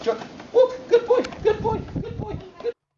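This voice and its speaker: A put-on character voice, squeaky and at an extremely high pitch, at a moderate pace. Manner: excited, encouraging.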